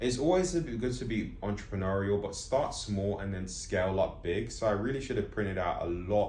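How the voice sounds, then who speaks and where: A man's fairly low, somewhat breathy voice shows ordinary pitch variation against audible room echo. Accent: London. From London, England. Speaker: comic artist and vlogger. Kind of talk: casual monologue vlog. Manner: fast; slightly slurred.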